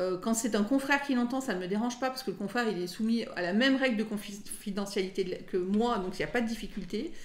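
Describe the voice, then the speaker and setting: A woman talks at a very fast pace with hardly any pauses. Her pitch is fairly high, and audible room echo surrounds her. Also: ordinary pitch variation. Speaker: lawyer. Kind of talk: interview.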